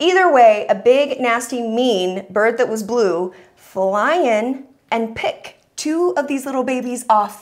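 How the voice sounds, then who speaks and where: Lively intonation marks a woman's speech, set against a quiet background. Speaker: talk show host. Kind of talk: talk show storytelling. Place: studio. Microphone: lapel.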